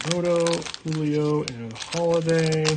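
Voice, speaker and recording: Noticeable background noise behind a male voice. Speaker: card-breaking streamer. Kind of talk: live stream card opening. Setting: live stream.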